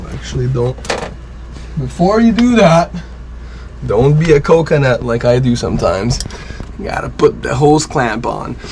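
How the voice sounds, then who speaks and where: A man's voice at a moderate pace against noticeable background noise. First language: French. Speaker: sailboat liveaboard vlogger. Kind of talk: tutorial. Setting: aboard a sailboat. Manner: casual.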